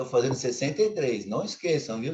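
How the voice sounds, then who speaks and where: A man's somewhat breathy voice at a medium pitch. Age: 60s. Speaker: lay preacher. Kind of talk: sermon. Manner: conversational, informal.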